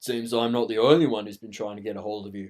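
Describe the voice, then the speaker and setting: A raspy, put-on character voice from a man, medium in pitch, at a very fast pace, with big swings in loudness and fairly even intonation. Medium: read story.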